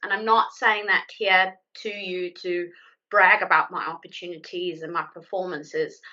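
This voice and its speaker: Speaking with a South African accent, a woman has a medium-pitched voice. Her pace is moderate. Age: 30s. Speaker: IT account manager. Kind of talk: presentation.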